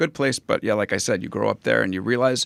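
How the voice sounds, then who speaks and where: Very fast speech with vocal fry, an American accent, and ordinary pitch variation comes through in a dry, close sound with no echo on a very clean recording with a silent background. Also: man. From US Northeast (Long Island, New York). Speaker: podcast host. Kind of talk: interview conversation. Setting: studio.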